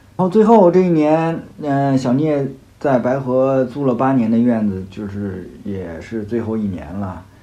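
Speaking at a fairly slow pace, a man uses a medium pitch with very wide pitch swings. Audible room echo surrounds the voice. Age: 40s. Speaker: podcast host, rock climber. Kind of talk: solo podcast monologue, personal year review. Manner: casual, hesitant with many fillers.

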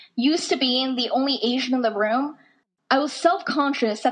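A woman speaks at a moderate pace in a General American accent. Her pitch is high, with ordinary variation. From US (Idaho, Dakotas), Chinese-born. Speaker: student speaker. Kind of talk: talk to an audience.

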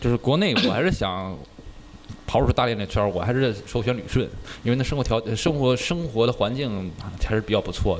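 A man's medium-pitched voice at a fairly quick pace, with lively intonation and noticeable background noise. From Dalian, northeast China. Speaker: podcast co-host. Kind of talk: casual chat.

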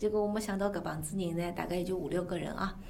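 Noticeable background noise surrounds a woman speaking with audible room echo. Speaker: former pop singer, music school head. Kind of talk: casual interview in Shanghainese.

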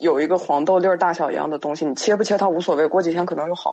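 With ordinary pitch variation, the woman's fairly low voice races along very quickly. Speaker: guest storyteller sharing supernatural experiences. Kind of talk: casual storytelling on a live-streamed podcast. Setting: live stream.

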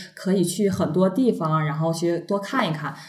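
A woman speaks in a room with audible echo. Noticeable background noise runs underneath. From northeast China, Shenyang. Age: young. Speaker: trainee flight attendant, former TV station worker. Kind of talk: casual chat.

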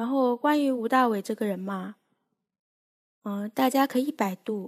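At a fairly slow pace, a woman speaks with a fairly high pitch and fairly even intonation. The recording is very clean and dry, close with no echo against a silent background. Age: young. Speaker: amateur podcast host. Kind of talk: casual solo chat. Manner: unscripted, hesitant with many fillers.

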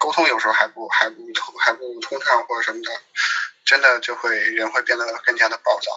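Strong Beijing accent from a man, at a fairly quick pace, with big swings in loudness. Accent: strong Beijing accent, heavy erhua. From Sichuan, Chengdu. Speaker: guest. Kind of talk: casual chat.

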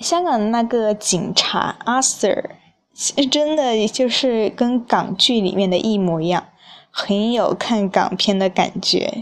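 A woman speaks very slowly at a fairly high pitch, with ordinary pitch variation and very even loudness. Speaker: podcast host. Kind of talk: casual solo travel talk.

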